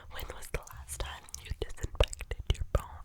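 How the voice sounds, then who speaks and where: Whispering comes at a fairly slow pace over noticeable background noise. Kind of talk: ASMR reading to camera. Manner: whispered, soft-spoken.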